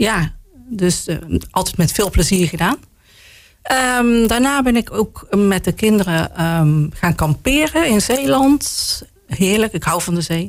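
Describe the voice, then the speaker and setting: A woman speaks very slowly at medium pitch, her voice making very wide pitch swings between long, frequent pauses. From Roosendaal, North Brabant, Netherlands. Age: 50s. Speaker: local politician. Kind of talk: casual interview. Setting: studio.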